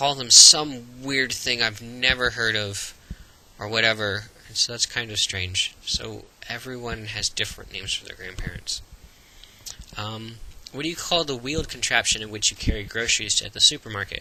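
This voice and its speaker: A man with an American accent talks at a moderate pace in a medium-pitched voice with ordinary pitch variation. His loudness swings widely, and background noise is noticeable. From Florida, USA. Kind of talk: casual talk to camera.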